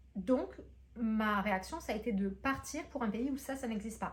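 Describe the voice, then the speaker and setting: The talking moves at a moderate pace. Room echo can be heard. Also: woman. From France. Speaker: booktuber and entrepreneur. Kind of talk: vlog monologue. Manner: hesitant, many fillers.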